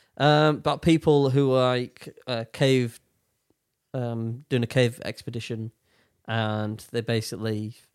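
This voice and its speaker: This very clean recording with a silent background has a dry, close sound with no echo, capturing a man at a medium pitch with fairly even intonation. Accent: British. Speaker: podcast host. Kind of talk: casual chat.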